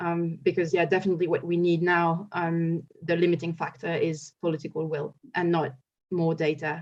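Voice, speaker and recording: A woman speaks at a fairly low pitch with monotone, flat intonation. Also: moderate pace. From France. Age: 30s. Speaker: ecologist and climate activist. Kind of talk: panel discussion.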